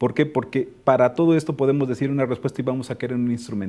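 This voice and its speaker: A man speaks at a very fast pace. His medium-pitched voice has a dark, mellow tone. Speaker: education specialist. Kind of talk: webinar discussion.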